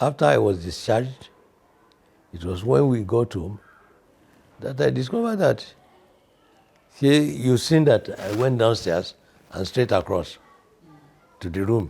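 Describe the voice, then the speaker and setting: A man with a medium-pitched, dark, mellow voice talks fairly slowly, somewhat breathy, with lively intonation. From Nigeria. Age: 80s+. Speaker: composer and choirmaster. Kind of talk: interview. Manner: halting.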